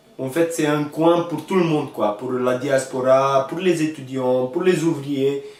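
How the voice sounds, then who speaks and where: The man's pitch sits fairly high, with ordinary variation, as he talks at a fairly slow pace through audible room echo and noticeable background noise. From northern Romania, Maramures. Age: 30s. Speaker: hotel manager, immigrant. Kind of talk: interview testimony. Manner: halting, many repetitions.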